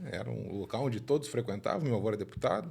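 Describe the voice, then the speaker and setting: A man's fairly quick, somewhat breathy speech carries lively intonation. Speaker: horse race commentator. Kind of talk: podcast interview. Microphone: sitting a bit far from the mic.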